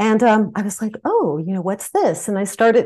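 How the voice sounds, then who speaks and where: This woman has an American accent and a dark, mellow tone. The background is quiet. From New Jersey, US East Coast. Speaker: flower remedy practitioner. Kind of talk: interview conversation.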